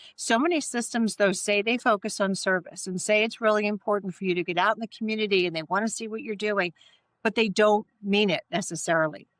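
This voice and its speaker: A woman talks at a very fast pace. The sound is dry and close with no echo, on a very clean recording with a silent background. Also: medium pitch for a woman, ordinary pitch variation. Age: 60s. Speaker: pageant coach and judge. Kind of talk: interview. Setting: podcast recording.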